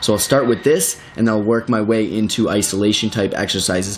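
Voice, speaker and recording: The speaker is a man with a medium pitch. Noticeable background noise can be heard. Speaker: fitness trainer. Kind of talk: tutorial. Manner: fast; animated.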